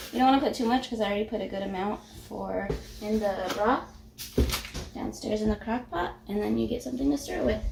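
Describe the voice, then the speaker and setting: A woman's fairly high-pitched voice with ordinary pitch variation, against noticeable background noise. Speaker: home cook, mom. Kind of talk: casual cooking tutorial to camera.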